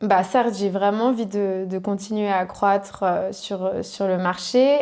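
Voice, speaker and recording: Against noticeable background noise, a woman speaks at a very slow pace and medium pitch with fairly even intonation. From French-speaking Switzerland, Riviera (Vevey–Montreux). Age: 20s. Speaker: e-commerce entrepreneur. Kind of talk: interview. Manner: hesitant, many fillers.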